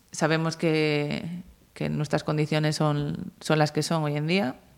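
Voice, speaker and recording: On a very clean recording with a silent background, a woman speaks at a fairly slow pace in a very deep, low pitch. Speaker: futsal goalkeeper. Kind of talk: interview.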